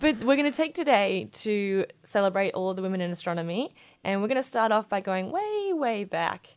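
Lively intonation marks this woman's speech, delivered with an Australian accent. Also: very clean recording, silent background. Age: young. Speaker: astronomer and podcast co-host. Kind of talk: casual chat.

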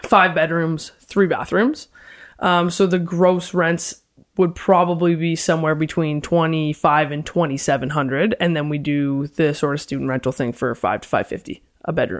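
A woman speaks with a Canadian accent in an unremarkable speaking voice. Her pitch is fairly low, with ordinary pitch variation. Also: moderate pace. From London, Ontario. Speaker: realtor and property investor. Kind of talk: casual interview.

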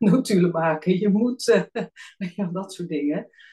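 Somewhat breathy and dark, mellow in tone, a woman's fairly low voice moves with ordinary pitch variation. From Netherlands, Alphen aan de Rijn (South Holland). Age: 40s. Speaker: team coach. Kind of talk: podcast interview.

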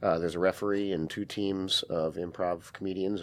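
In a very deep, low voice with an American accent, a man speaks at a fairly quick pace with fairly even intonation over a quiet background. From Wisconsin, US Midwest. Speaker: improv comedy theater owner. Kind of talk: interview.

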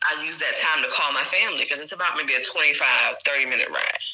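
A woman in a South Carolina accent over noticeable background noise. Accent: Southern US (South Carolina). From US South, small-town South Carolina. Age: 30s. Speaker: English teacher abroad. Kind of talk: casual chat.

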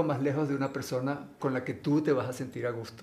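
The speaker is a man. Audible room echo is present. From Venezuela. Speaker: actor and model. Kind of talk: casual interview.

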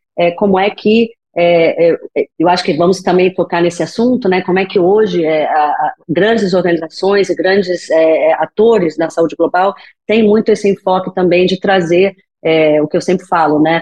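A woman with a Brazilian accent speaks at a medium pitch and a moderate pace. Her intonation is fairly even and her loudness stays very even. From Brazil, Rio de Janeiro. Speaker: physician in global health. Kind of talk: podcast interview.

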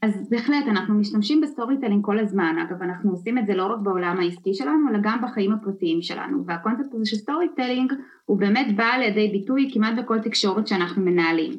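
Talking at a very fast pace with hardly any pauses, a woman uses a fairly high voice, lively intonation and an animated tone. Noticeable background noise runs behind her. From former Soviet Union, immigrated to Israel. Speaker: storytelling and communication consultant. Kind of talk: podcast interview. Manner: fluent, animated.

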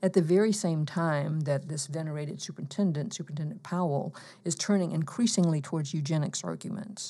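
A woman's somewhat breathy, fairly low voice with a dark, mellow tone, an American accent and hardly any pauses. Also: ordinary pitch variation, fairly quick pace. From US South, eastern Alabama. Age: 60s. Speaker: professor. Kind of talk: interview.

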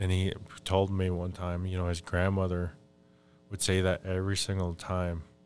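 With an American accent, a man talks at a moderate pace in a very deep, low voice and a flat, monotone delivery. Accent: Upper Midwest Ojibwe English. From Minnesota, Fond du Lac reservation. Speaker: Ojibwe spiritual advisor and language worker. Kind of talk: casual interview conversation. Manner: halting, frequent fillers.

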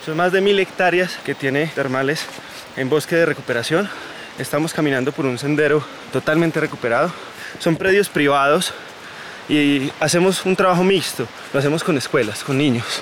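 Amid noticeable background noise, a man speaks at a moderate pace and a fairly high pitch with ordinary pitch variation and long, frequent pauses. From Colombia, Santa Rosa de Cabal (Risaralda). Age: 20s. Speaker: environmental coordinator and tour guide. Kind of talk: guided tour explanation. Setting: outdoors, walking on a mountain trail.

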